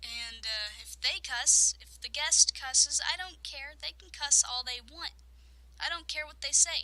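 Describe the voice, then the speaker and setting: A woman speaks at a fairly slow pace with big swings in loudness. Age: young. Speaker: let's play gamer. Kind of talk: casual talk to camera. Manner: quiet.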